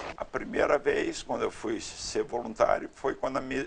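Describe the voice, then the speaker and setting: Here a man speaks at a moderate pace. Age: 60s. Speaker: retired security consultant and volunteer storyteller. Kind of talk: interview testimony.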